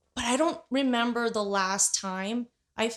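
This woman has an unremarkable speaking voice with ordinary pitch variation. Her pitch is fairly high. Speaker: podcast host. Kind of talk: interview, casual chat. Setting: home recording, dog barking.

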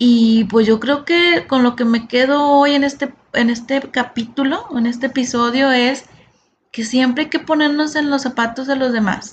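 With fairly even intonation, a woman talks at a high pitch. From Monterrey, Mexico. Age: 40s. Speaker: podcast host, sales and customer service entrepreneur. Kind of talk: solo podcast monologue.

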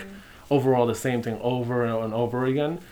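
A man with an American accent and a normal speaking voice talks fairly quickly at a medium pitch with ordinary pitch variation. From New York City, Lower East Side. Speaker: bubble tea shop owner. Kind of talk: casual interview.

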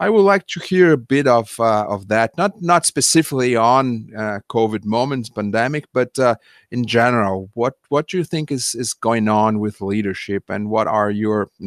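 The background is silent and the recording very clean. A plain, everyday voice moves at a moderate speed with ordinary pitch variation. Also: man. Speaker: podcast host. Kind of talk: interview conversation.

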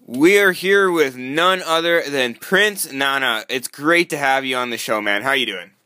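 With hardly any pauses, a man talks at a moderate pace in a fairly high pitch, his bright, sharp tone upbeat and his intonation lively. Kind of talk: sales pitch. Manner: upbeat, salesy hype delivery, pushing a price and a call to action.

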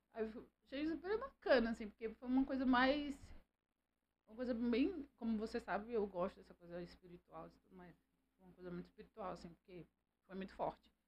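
Lively in intonation and fairly high in pitch, a woman speaks at a fairly quick pace with big swings in loudness and long, frequent pauses. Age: 40s. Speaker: businesswoman, host's mother. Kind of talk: casual interview.

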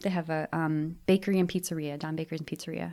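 With an Upper Midwest accent, a woman speaks at a fairly quick pace in a very deep, low pitch. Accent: Upper Midwest American. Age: 40s. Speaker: guest, bakery worker. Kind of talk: casual chat.

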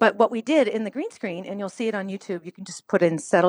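A woman at a very fast pace with lively intonation, in a dry, close sound with no echo against a quiet background. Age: 50s. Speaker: middle school teacher. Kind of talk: interview. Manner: animated.

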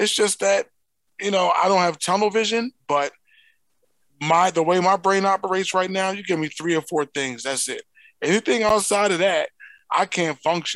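With an American accent, a man talks in a high voice, leaving long, frequent pauses, and the sound is dry and close with no echo. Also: ordinary pitch variation, moderate pace. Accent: Philadelphia, strong when relaxed. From Philadelphia. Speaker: podcast co-host. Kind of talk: casual banter.

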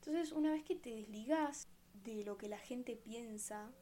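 With a Rioplatense accent and lively intonation, a woman speaks at a high pitch and fairly slow pace over noticeable background noise. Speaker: podcast host. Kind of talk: casual monologue.

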